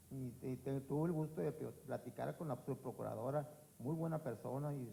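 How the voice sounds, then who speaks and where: With a dark, mellow, somewhat breathy tone, a man speaks at a moderate pace in a fairly high voice with ordinary pitch variation. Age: 60s. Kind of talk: public forum testimony. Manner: halting, with repetitions.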